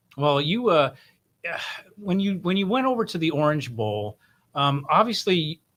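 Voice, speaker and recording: A man speaks with a fairly high pitch and very wide pitch swings. His speech has long, frequent pauses. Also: moderate pace. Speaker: podcast host. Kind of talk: interview question.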